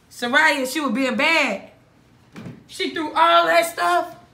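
A woman's high-pitched, raised and projected voice at a very slow pace, with very wide pitch swings, audible room echo and light background noise. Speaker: family YouTuber. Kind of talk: prank video. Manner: animated. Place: home room. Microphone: phone near.

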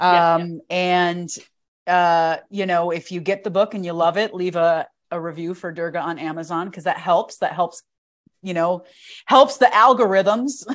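At a moderate pace, a woman with a fairly low pitch and ordinary pitch variation speaks with big swings in loudness against a quiet background. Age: 30s. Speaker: podcast host and yoga teacher; podcast host, yoga teacher. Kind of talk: casual interview. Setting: video call. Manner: animated. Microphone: lapel.

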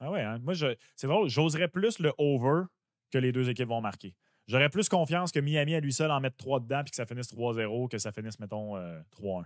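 The voice moves at a moderate pace with lively intonation. The background is quiet, and the sound is dry with no echo. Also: man. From Quebec. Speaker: sports betting podcast co-host. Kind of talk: casual chat. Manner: animated. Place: home room. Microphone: studio mic.

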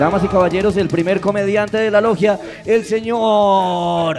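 Over music in the background, a man speaks at a fairly slow pace with a high pitch. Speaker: roast master of ceremonies. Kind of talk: host banter, introductions. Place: stage. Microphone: handheld.

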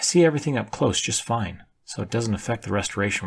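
The intonation is lively in this plain reading aloud.

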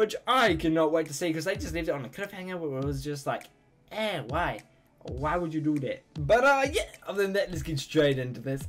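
A man speaks at a fairly quick pace as faint music plays in the background. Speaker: reaction video creator. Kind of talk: casual vlog chat. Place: home room.

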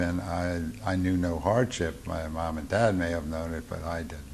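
A man with an American accent speaks at a moderate pace. His voice is very deep and low, with light background noise behind it. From Baltimore, Maryland. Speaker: war veteran. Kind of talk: oral history interview. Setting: veterans reunion. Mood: reflective, calm. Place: home room.

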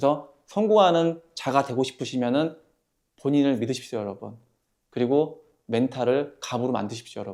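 With an animated tone, a man of medium pitch speaks at a fairly quick pace with ordinary pitch variation. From Korea, Hwaseong (Gyeonggi). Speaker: real estate developer and YouTuber. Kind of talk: motivational talk to camera.

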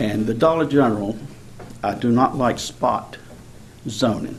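Against noticeable background noise, a man with a Southern US accent speaks with ordinary pitch variation. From rural Rockingham County, North Carolina. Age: 70s. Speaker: local resident commenter. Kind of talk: public comment at government hearing. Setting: county board meeting room.

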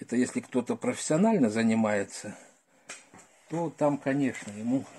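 With light background noise present, a man speaks fairly slowly in a dark, mellow tone. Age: old. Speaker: retired gardener, video blogger; video blogger. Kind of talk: tutorial. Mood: calm, practical. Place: home room. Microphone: phone near.

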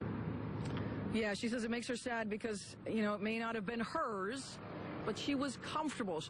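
A woman's fairly high voice with ordinary pitch variation and very even loudness, at a fairly slow pace with hardly any pauses, dry with no echo, against noticeable background noise. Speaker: TV news reporter. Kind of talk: live TV news report. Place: garden. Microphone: handheld.

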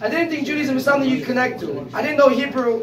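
The recording carries light background noise and audible room echo. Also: man. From California. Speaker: speaker sharing personal story; speaker. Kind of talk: testimony. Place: home room. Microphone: phone near.

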